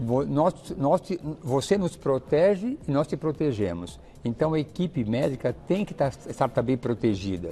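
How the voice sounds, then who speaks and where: There's vocal fry in this man's fairly high voice, which has a dark, mellow tone, very wide pitch swings and a fairly slow pace. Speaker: gynecologist and fertility doctor. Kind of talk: TV interview.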